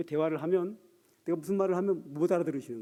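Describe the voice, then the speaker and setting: In a dark, mellow tone, a man rattles off his words at a very fast pace. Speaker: pastor. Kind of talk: sermon. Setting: church.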